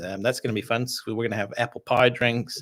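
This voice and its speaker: A man with an American accent speaks at a fairly quick pace on a very clean recording with a silent background. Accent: sounds American. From Canada. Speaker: distiller and podcast host. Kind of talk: live stream whisky tasting chat. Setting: live stream. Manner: casual, filler-heavy.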